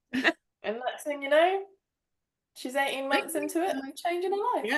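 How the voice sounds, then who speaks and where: A woman with a high pitch and lively intonation. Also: moderate pace. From United Kingdom. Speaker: inner work coach. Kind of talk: podcast interview answer. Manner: candid, casual.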